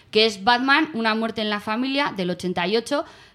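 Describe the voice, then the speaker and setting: Her tone is animated and her intonation lively. The woman speaks at a fairly slow pace. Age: 30s. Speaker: podcast co-host. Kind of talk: casual chat.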